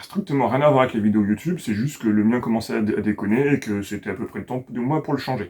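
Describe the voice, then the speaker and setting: Man at a very fast pace. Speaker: YouTuber. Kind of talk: casual talk to camera.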